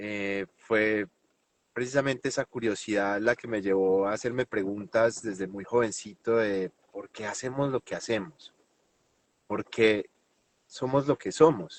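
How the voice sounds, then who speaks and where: A man speaks in a Colombian paisa accent. His loudness swings widely. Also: fairly low pitch for a man, ordinary pitch variation, fairly slow pace. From Colombia, Medellín. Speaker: NLP trainer and hypnotherapist. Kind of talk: interview.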